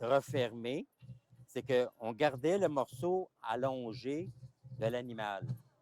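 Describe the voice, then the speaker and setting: With long, frequent pauses, a man speaks at a very slow pace and medium pitch with ordinary pitch variation, the sound dry and close with no echo. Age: 70s. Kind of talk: interview, explaining traditions. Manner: halting, many repetitions.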